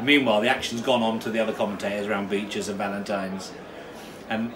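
A man with a fairly low pitch at a very fast pace, amid noticeable background noise. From southern England. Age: 50s. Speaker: racecourse commentator. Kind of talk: casual interview chat. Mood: animated storytelling. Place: home room. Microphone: phone near.

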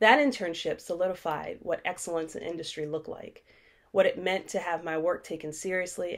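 A woman's fairly low voice at a fairly quick pace against a quiet background. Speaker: racial justice educator and executive director. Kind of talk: keynote speech. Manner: formal. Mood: earnest and expressive. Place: home room. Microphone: webcam.

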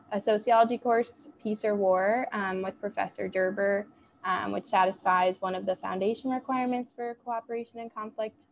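Over light background noise comes a normal speaking voice with fairly even intonation at a moderate pace. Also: woman. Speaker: student peer advisor; panelist. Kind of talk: casual chat. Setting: video call. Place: home room. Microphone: earbuds.

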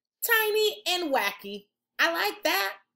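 A woman's extremely high, bright, sharp voice, slow-paced, with vocal fry and big pitch swings.

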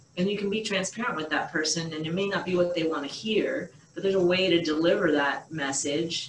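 Through light background noise and audible room echo, a woman speaks at a moderate pace with fairly even intonation. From Boston area, USA. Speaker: surgeon; interviewee. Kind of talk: interview answer. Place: home room. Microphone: webcam.

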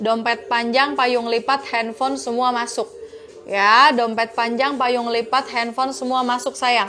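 A woman with a high-pitched voice speaks at a fairly slow pace with fairly even intonation over light background noise. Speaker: online bag seller. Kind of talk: live-stream sales pitch. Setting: online live stream selling bags. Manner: warm and flirty, calls viewers 'sayang' and 'kakak'. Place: shop. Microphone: lapel.

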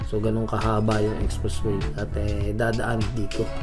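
Spoken at a fairly slow pace, the voice comes over clear music playing in the background. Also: man. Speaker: channel host. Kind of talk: casual vlog commentary. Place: waterside.

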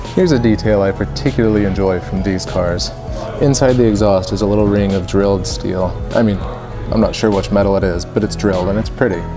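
A man's fairly low voice at a very fast pace, with ordinary pitch variation and clear music in the background. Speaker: car reviewer. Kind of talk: casual tour commentary. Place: shop.

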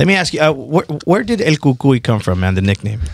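A man talks at a fairly quick pace with very wide pitch swings, in a dry sound with no echo against a quiet background. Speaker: radio host. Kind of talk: casual interview. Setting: studio. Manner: laid-back. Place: studio. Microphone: studio mic.

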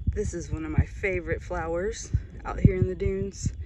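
Amid loud background noise, a woman speaks at a moderate pace. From Mississippi. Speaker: marine biologist. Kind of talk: casual vlog narration. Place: beach. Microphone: phone near.

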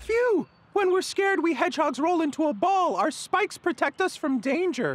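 This cartoonish character voice sits at an extremely high pitch and moves at a moderate pace. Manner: calm, explanatory.

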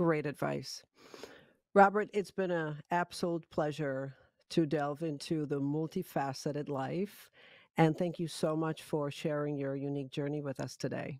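In a dry setting with no echo and a quiet background, a woman talks at a moderate pace with a very deep, low pitch and fairly even intonation. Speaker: podcast host. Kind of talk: interview. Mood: warm, appreciative. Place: home room.

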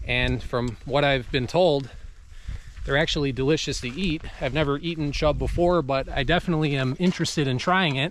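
A man talks at a fairly quick pace. The sound is dry with no echo, and light background noise is present. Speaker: fishing vlogger. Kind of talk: casual vlog chat. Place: forest. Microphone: phone near.

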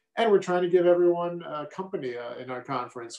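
Speaking very fast, a man's voice carries audible room echo. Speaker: state senator. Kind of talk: rally speech. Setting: virtual event video. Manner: earnest, fired-up, urging. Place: home room. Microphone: webcam.

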